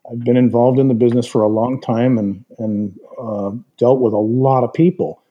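A man with an ordinary speaking voice, medium pitch, ordinary pitch variation and a moderate pace. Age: 60s. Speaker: retired aerospace executive and advisor. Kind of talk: podcast interview.

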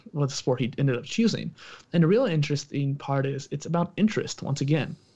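This man's voice sits at a fairly high pitch and comes across somewhat breathy. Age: 20s. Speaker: entrepreneur and podcaster, exercise background. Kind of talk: casual interview conversation.

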